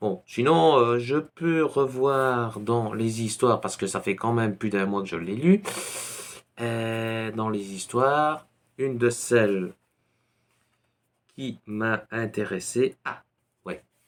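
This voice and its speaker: A man with a Belgian accent, medium pitch, ordinary pitch variation, a very slow pace and long, frequent pauses. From Belgium. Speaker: YouTuber on paranormal topics. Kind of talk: casual book recommendation vlog. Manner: hesitant, many fillers.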